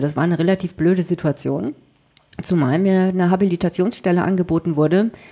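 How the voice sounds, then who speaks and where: A woman's fairly low voice with a dark, mellow tone, in a northern German accent, at a fairly quick pace with fairly even intonation. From southwest Germany (Freiburg), northern German family. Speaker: journalist and author. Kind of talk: interview.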